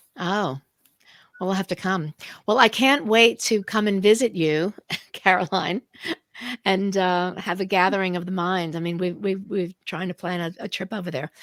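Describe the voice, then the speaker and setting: Recorded with a dry, close sound and no echo, a woman talks at a moderate pace and medium pitch with ordinary pitch variation. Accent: New York. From New York. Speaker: podcast host and co-author. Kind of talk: casual interview chat.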